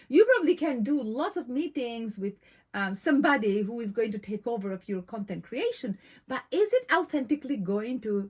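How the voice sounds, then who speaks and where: In a non-native accent, a woman with a fairly high, somewhat breathy voice speaks at a moderate pace with lively intonation. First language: not English. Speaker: women's business coach. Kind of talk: live online coaching talk. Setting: live stream. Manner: animated.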